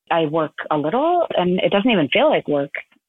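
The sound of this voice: In an American accent, a woman talks at a moderate pace and a fairly low pitch with big pitch swings, in a dry, close sound with no echo.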